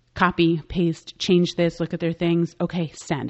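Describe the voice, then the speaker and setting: A woman speaks fairly slowly at a fairly low pitch in an unremarkable speaking voice. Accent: American. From New York City (Manhattan, Bronx). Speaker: makeup artist and business owner. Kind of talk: interview conversation.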